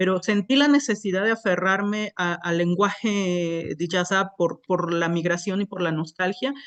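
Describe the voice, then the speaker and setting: With a southern Mexican accent, a woman talks at a fairly slow pace. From Isthmus of Tehuantepec, Oaxaca, Mexico. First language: Isthmus Zapotec (speaking Spanish). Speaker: poet. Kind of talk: panel talk. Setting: museum event with microphones. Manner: hesitant, many filler sounds.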